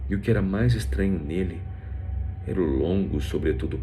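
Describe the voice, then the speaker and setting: A man's fairly slow speech with audible room echo and music in the background. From Brazil, Rio de Janeiro. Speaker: voice actor and narrator. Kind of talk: scripted narration.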